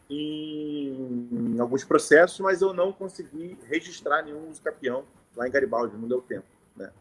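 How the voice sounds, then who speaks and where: The speaker has a strong Carioca accent. The pace is fairly slow. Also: man. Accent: carioca, strong chiado. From Rio de Janeiro, Brazil. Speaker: notary. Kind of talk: informal talk to lawyers on a live stream. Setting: live stream.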